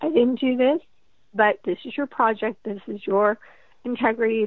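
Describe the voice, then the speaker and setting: A woman's normal speaking voice, fairly high-pitched and fairly quick, with ordinary pitch variation. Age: 40s. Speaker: author. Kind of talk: interview.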